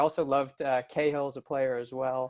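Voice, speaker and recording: A man at a moderate pace with an American accent. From United States. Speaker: football fan guest. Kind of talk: casual chat.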